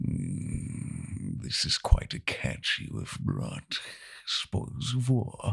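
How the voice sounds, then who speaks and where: Using a put-on character voice, a man growls at a very slow pace with a medium pitch. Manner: snarling.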